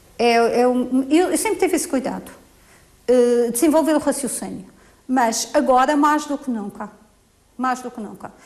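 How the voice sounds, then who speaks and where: A woman's high-pitched voice at a moderate pace, with ordinary pitch variation, big swings in loudness and long, frequent pauses. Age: 60s. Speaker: teacher. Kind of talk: interview. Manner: halting.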